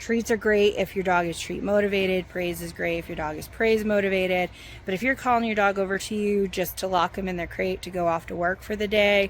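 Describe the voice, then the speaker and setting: A woman talks at a fairly quick pace with fairly even intonation and hardly any pauses. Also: medium pitch for a woman. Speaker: farmer and dog trainer. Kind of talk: tutorial. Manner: casual, hesitant; loud calling.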